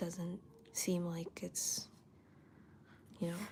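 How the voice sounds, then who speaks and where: A woman speaks at a fairly slow pace. Her tone is dark and mellow and somewhat breathy. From Canada. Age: 20s. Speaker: artist livestreamer. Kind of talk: casual livestream chat while drawing. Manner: casual, chatty.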